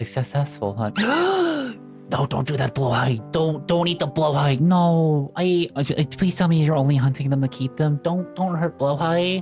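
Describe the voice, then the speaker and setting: With music in the background, a woman speaks in a gentle tone at a very deep, low pitch. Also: ordinary pitch variation, moderate pace. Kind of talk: casual talk to camera, meme reaction video. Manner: gentle, pleading, affectionate.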